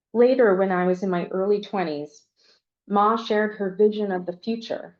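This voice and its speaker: A woman with an American accent talks at a moderate pace in an ordinary speaking voice, medium in pitch, with fairly even intonation. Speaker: memoir author. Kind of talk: reading aloud.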